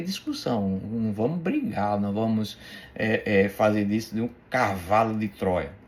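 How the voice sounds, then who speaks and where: Speaking at a very slow pace, a man with a medium-pitched voice uses lively intonation. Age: 60s. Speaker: bible teacher. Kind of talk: religious teaching talk. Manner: halting, many repetitions and fillers; playful.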